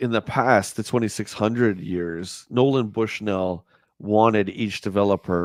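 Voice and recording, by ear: A quiet background behind reading aloud in a natural voice, its pitch varying in an ordinary way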